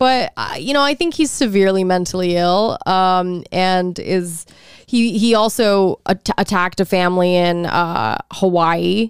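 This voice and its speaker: A woman with an American accent speaks at a fairly slow pace in a plain, everyday voice, her medium pitch showing ordinary variation. The recording is very clean with a silent background, and the sound is dry and close with no echo. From Texas. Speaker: podcast co-host. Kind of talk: casual chat.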